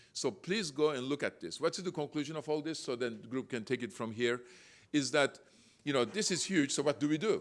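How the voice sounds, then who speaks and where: Speaking at a fairly quick clip with lively intonation and a non-native accent, this man has a fairly high pitch, captured in a very clean recording with a silent background. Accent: foreign. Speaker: real estate developer and panelist. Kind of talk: panel presentation. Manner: halting, with fillers and self-corrections.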